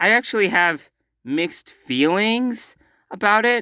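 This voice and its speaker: A man's raised, projected voice, high-pitched for a man, bright and sharp in tone, with lively intonation, dry and close with no echo, on a very clean recording with a silent background. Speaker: movie commentary youtuber. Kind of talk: casual vlog commentary. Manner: hesitant, many fillers; loud.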